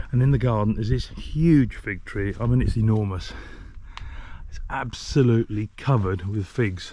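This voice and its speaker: Speaking in an English accent, a man keeps a moderate pace. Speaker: travel vlogger. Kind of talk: casual vlog narration.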